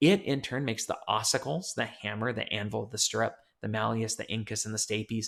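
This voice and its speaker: The voice has vocal fry. The recording is very clean, with a silent background. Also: man. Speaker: psychology professor. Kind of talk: lecture. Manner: fast.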